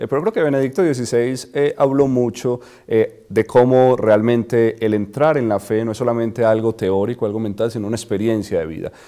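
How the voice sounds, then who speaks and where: A man with a Colombian accent talks at a fairly quick pace with hardly any pauses, using ordinary pitch variation and a dark, mellow tone. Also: medium pitch for a man. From Colombia, Medellín. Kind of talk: interview. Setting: studio. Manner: hesitant, many fillers.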